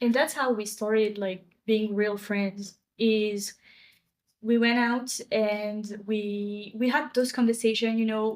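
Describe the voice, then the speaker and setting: Fairly high in pitch, a woman speaks in a flat monotone with a French accent. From France. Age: 20s. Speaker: podcast co-host. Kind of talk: casual chat.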